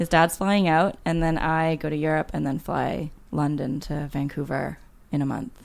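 A woman's very deep, low voice with vocal fry, at a moderate pace and with fairly even intonation. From Canada. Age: 30s. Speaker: memoir author. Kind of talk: casual chat.

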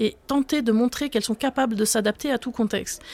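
Her pitch is high. The woman speaks at a fairly quick pace. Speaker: professor of social policy. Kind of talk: expert interview.

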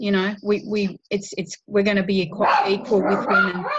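A woman speaks with an Australian accent at a moderate pace. Her fairly high voice is somewhat breathy. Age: 50s. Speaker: women's advocate and writer. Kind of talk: interview.

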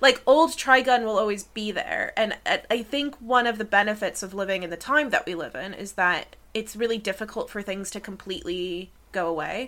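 Bright and sharp, a fairly high-pitched woman's voice with an American accent moves with lively intonation, big swings in loudness and hardly any pauses, on a very clean recording with a silent background. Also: moderate pace. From United States. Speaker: academic and podcast co-host. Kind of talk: casual chat.

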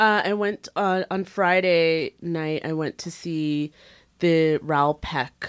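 With a Canadian accent and a plain, everyday voice, a woman speaks at a fairly low pitch with ordinary pitch variation in a dry, close sound with no echo. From Canada, Brampton, Ontario. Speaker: magazine editor. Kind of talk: casual chat.

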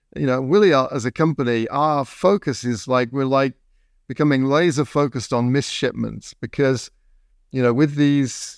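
A man's medium-pitched voice with ordinary pitch variation at a moderate pace, dry and close with no echo, in a very clean recording with a silent background. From England. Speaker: podcast host. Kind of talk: interview.

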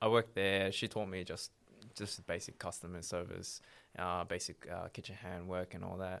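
A man with an Australian accent speaks at a moderate pace in a very deep, low voice and a flat monotone, on a very clean recording with a silent background. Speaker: former prisoner. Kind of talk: interview.

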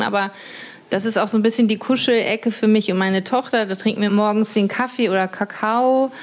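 Over noticeable background noise, a woman with a fairly high pitch speaks at a fairly quick pace with fairly even intonation. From North Rhine-Westphalia, Germany. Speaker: journalist and author. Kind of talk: casual chat during a house tour. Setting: at home by a lake.

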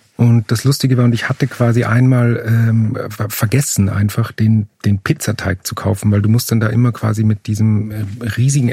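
A man speaks at a moderate pace and medium pitch, somewhat breathy and dark and mellow in tone, in a monotone with flat intonation, the sound dry and close with no echo. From Upper Austria. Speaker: playwright and theatre director. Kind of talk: interview conversation. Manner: halting, many fillers.

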